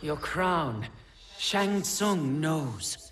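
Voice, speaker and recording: A man puts on a character voice at a fairly high pitch. An echo can be heard. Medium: video game. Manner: terse, stoic.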